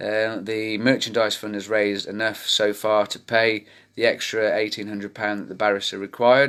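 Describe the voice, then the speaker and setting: A man with a British accent speaks in a fairly low, monotone, flat voice with big swings in loudness, recorded very cleanly against a silent background. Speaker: campaign group founder. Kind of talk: live video update to community. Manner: fast.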